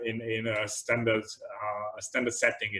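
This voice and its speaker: A man speaks at a moderate pace with medium pitch in a normal speaking voice. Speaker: computer vision researcher giving a tutorial talk. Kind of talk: lecture.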